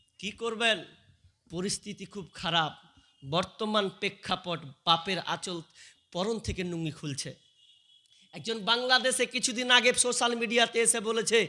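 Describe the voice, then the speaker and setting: A man with a high pitch and a bright, sharp tone speaks in a raised, projected voice. His tone is animated, with ordinary pitch variation. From West Bengal, Murshidabad. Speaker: Islamic preacher. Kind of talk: sermon.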